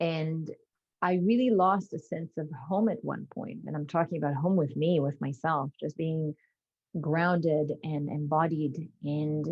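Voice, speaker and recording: A woman's very deep, low voice, somewhat breathy, at a fairly slow pace with ordinary pitch variation. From Israel. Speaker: somatic intelligence speaker. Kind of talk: interview.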